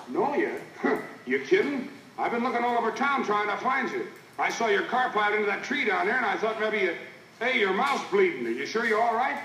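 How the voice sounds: In a put-on character voice, a man talks at a fairly quick pace with few pauses, his high pitch taking big swings and his tone bright and sharp, with audible room echo around him.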